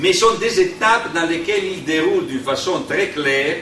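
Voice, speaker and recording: A man with an Italian accent speaks with lively intonation amid audible room echo and noticeable background noise. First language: Italian (speaking French). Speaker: union delegate. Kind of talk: conference talk. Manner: slow, deliberate; halting.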